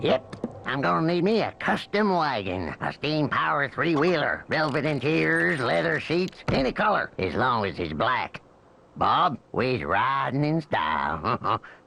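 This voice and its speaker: A man's cartoonish character voice of medium pitch, with very wide pitch swings, very even loudness and a moderate pace. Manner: swaggering, drawling.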